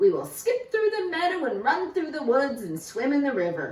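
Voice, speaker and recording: A woman's high-pitched, put-on character voice with very wide pitch swings and a slight echo. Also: moderate pace. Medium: read story.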